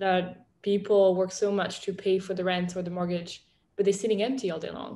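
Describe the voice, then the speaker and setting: A woman in a French accent speaks at medium pitch and a moderate pace, her tone dark and mellow and her intonation monotone and flat. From France. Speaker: startup founder and CEO. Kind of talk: interview. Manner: casual with frequent fillers.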